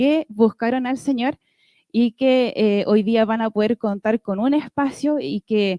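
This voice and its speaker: Recorded with a dry, close sound and no echo, a woman speaks fairly slowly in a high pitch with a dark, mellow tone and ordinary pitch variation. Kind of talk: church conference talk.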